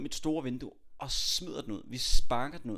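A man's fairly high-pitched voice, an unremarkable speaking voice with ordinary pitch variation. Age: 20s. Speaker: podcast host, aspiring public speaker. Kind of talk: casual chat. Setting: home, on a sofa.

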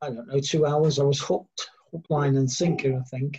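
This man's voice is somewhat breathy. His pitch is fairly high. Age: 50s. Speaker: dog trainer. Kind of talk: casual chat.

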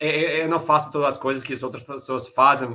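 A man speaks with a bright, sharp tone. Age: 30s. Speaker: poker player and coach. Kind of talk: interview. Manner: halting.

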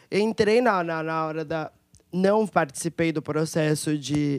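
This woman has a normal speaking voice, fairly low in pitch with ordinary pitch variation, at a fairly slow pace. The recording is very clean with a silent background. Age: 30s. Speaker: singer. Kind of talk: panel discussion.

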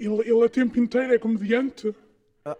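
A man with a European Portuguese accent speaks at a moderate pace in a high pitch with a dark, mellow tone. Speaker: podcast co-host. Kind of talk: casual chat.

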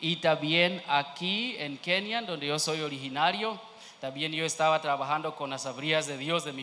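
A man's fairly high voice with a non-native accent, at a moderate pace with ordinary pitch variation, amid audible room echo. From Kenya. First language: not Spanish (speaking Spanish). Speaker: missionary. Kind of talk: church testimony. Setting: church. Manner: halting.

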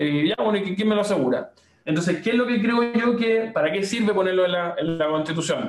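A man with a high voice speaks at a fairly quick pace, his pitch rising and falling in an ordinary way. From Chile, Valparaíso region (Viña del Mar). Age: 30s. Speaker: think tank director and political candidate. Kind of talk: interview conversation. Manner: frequent hesitations and repetitions.

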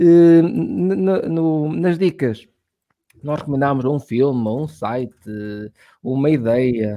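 This man has an ordinary speaking voice with a fairly high pitch. His intonation is lively. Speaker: podcast host. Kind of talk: casual chat.

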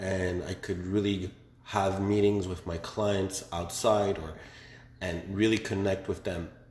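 With audible room echo, a man with a very deep, low voice talks at a fairly slow pace, somewhat breathy and monotone with flat intonation. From Quebec, Montreal. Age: 20s. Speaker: young entrepreneur. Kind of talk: casual interview.

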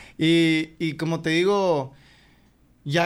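A man on a very clean recording, the background silent. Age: 20s. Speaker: rapper. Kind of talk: casual chat.

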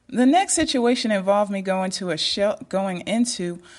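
A woman's fairly high, somewhat breathy voice with an American accent, lively intonation and a moderate pace. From United States. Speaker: YouTube dating advice creator. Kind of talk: monologue, personal stories.

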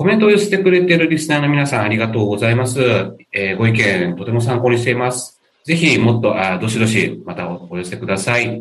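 A man with an Okinawan accent, medium pitch, very wide pitch swings and a fairly quick pace. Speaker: newspaper editor, podcast host. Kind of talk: interview; casual chat.

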